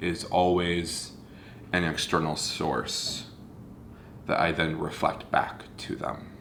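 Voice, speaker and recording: This man speaks with an American accent in a very deep, low pitch, with noticeable background noise and audible room echo. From US South, North Central Florida. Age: 30s. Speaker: video blogger. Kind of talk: personal confessional monologue. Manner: halting, with fillers.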